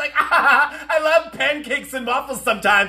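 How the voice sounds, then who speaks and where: Man with an extremely high-pitched, raised and projected voice. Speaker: comedy commentator. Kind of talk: political commentary rant to camera. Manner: fast, ranting, exasperated. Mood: sarcastic, exasperated. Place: home room. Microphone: phone near.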